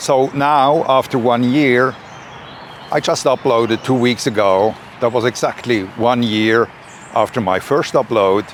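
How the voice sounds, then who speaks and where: With a Swiss German accent, a man of medium pitch speaks at a fairly slow pace with fairly even intonation over noticeable background noise. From Switzerland. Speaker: YouTuber, personal growth creator. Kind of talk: reflective talk to camera. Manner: slightly halting with fillers.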